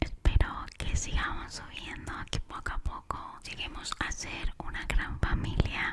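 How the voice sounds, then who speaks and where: Noticeable noise runs in the background. A woman whispers very slowly. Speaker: ASMR creator. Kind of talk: ASMR personal talk. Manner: whispered.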